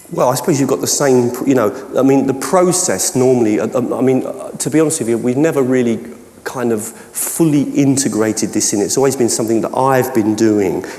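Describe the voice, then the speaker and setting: A man with a Cockney accent, medium pitch, ordinary pitch variation and a fairly quick pace. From London (Cockney). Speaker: educational technology trainer and keynote speaker; educational technology trainer, keynote speaker. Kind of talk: conference Q&A. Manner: halting, many false starts. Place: hall.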